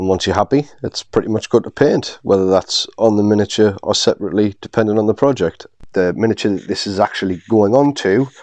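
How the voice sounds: Speaking at a fairly quick pace, a man has a slightly mellow tone. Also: fairly low pitch for a man, ordinary pitch variation.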